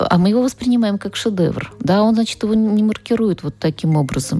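A woman with an unremarkable speaking voice, lively intonation, and a moderate pace. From Russia, Nizhny Novgorod. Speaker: literature professor. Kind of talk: radio interview. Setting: studio.

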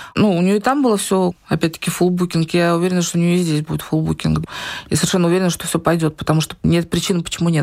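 Over noticeable background noise, a woman talks very fast at a fairly low pitch, keeping her loudness very even. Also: fairly even intonation. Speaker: online business owner and community founder. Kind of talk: interview.

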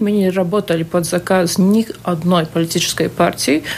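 A woman's medium-pitched voice at a fairly slow pace, ordinary pitch variation, noticeable background noise. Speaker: state auditor general. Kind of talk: live radio interview. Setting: radio studio. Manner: hesitant, many fillers.

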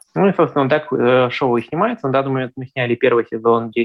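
Here a man with a medium pitch and ordinary pitch variation talks in an unremarkable speaking voice. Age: 20s. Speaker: blind traveller and travel blogger. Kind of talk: interview.

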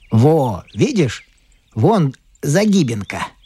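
Speaking at a very slow pace, a man with a fairly high pitch makes very wide pitch swings, the sound dry and close with no echo. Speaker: audiobook narrator. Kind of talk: literary audiobook reading.

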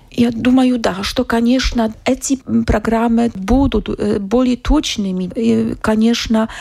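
A woman speaks fairly slowly at a fairly high pitch, with vocal fry, a slightly mellow tone and fairly even intonation.

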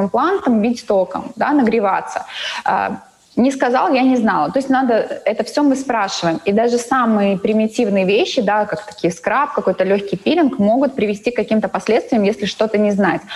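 Over noticeable background noise, a woman speaks at a moderate pace with a fairly high pitch, ordinary pitch variation and very even loudness. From Latvia, Daugavpils. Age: 30s. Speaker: cosmetologist and beauty salon owner. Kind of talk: interview. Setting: video call.

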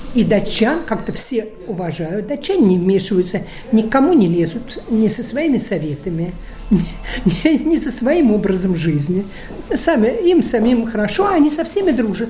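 The voice moves at a moderate pace with very wide pitch swings. Noticeable background noise and audible room echo fill the recording. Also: woman, fairly high pitch for a woman. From Russia, Saint Petersburg. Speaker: gallery owner. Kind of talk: interview. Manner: halting.

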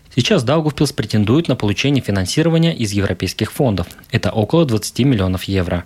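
Speaking at a fairly quick pace, a man with a fairly low pitch uses lively intonation in a plain, everyday voice. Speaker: radio host. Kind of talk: radio program presenter narration.

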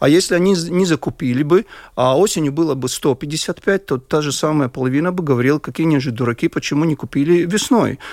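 Over a very clean recording with a silent background, a man talks at a fairly quick pace in a plain, everyday voice that sits fairly high with ordinary pitch variation. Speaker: heating association board member. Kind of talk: radio panel discussion.

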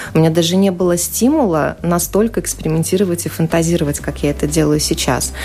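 The speech runs at a very fast pace with very even loudness over noticeable background noise. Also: woman. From Ukraine, Ukrainian-Russian family. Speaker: journalist and amateur cook. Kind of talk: radio interview. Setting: radio studio.

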